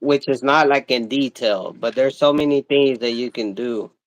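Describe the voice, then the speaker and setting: A man with a Mexican accent speaks in a dry, close sound with no echo. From Mexico. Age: 30s. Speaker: vlogger. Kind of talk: casual chat. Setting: livestream. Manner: animated.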